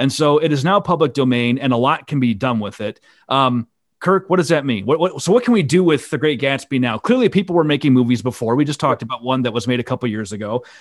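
A man with a Midwestern American accent talks very fast at a fairly high pitch, his intonation lively. The recording is very clean with a silent background. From Iowa. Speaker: podcast host, intellectual property lawyer. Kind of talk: casual chat.

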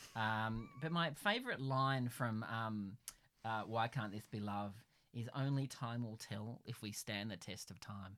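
With an Australian accent, this man talks at a fairly slow pace, his tone bright and sharp and his pitch varying in an ordinary way. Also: medium pitch for a man. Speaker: podcast host. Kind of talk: casual chat. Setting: home pantry.

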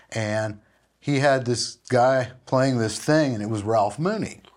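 An American man speaks in a plain, everyday voice at a medium pitch. His pace is fairly slow, with ordinary pitch variation. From US Midwest, Minneapolis. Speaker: session guitarist and pedal steel player. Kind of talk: interview.

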